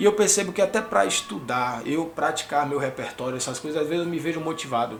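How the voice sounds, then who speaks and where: Amid noticeable background noise and audible room echo, a man talks very fast in a high pitch. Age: 30s. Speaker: music teacher and youtuber. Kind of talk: casual vlog monologue. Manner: sometimes fast; stutters at times.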